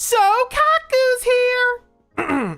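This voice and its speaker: A female-sounding put-on character voice rises to an extremely high pitch. Music plays in the background. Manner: energetic, battle-cry.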